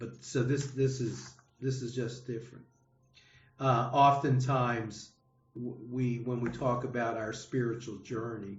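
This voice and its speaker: Over audible room echo, a man talks at a fairly slow pace in a medium-pitched, somewhat breathy voice with monotone, flat intonation. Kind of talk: adult education class discussion. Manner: halting, many repetitions and fillers; slow, deliberate.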